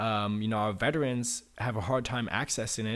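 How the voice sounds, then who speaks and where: A man with an American accent has a normal speaking voice. He talks at a moderate pace with fairly even intonation. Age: 20s. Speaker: state politician. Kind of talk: interview.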